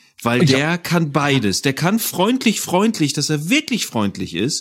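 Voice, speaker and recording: A man speaks at a moderate pace. His pitch swings very widely, and the recording is very clean with a silent background. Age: 40s. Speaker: audio drama producer and composer. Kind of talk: casual chat.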